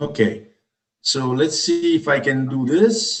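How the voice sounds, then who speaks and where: At a very slow pace, a man speaks in a fairly high pitch with very wide pitch swings. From Italy. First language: Italian. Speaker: professor. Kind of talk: graduation speech. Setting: video call.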